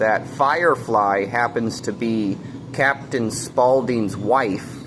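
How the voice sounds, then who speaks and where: Through noticeable background noise, a man talks with ordinary pitch variation. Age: 30s. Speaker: vlogger. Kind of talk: casual monologue to camera. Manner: halting, many fillers.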